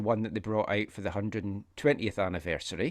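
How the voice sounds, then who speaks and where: A man with a Scottish accent, fairly low in pitch, at a very fast pace. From Scotland, Fife. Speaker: soccer podcaster. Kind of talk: casual chat.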